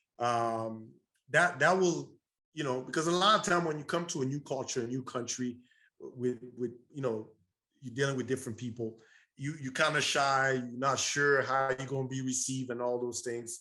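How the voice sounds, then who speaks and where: A man speaks at a moderate pace. His tone is bright and sharp, with a medium pitch. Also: ordinary pitch variation. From Burundi, East Africa. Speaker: entrepreneur. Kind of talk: interview.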